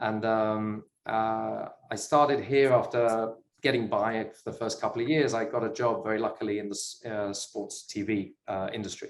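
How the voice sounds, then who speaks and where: In a British accent, a man speaks at a moderate pace with a medium pitch and fairly even intonation. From UK. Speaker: sports business investor. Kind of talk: interview chat.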